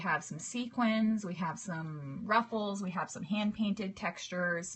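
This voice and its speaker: A woman with a medium-pitched voice talks in a relaxed tone at a fairly slow pace with ordinary pitch variation. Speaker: cake decorating teacher. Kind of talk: live stream tutorial. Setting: live video broadcast.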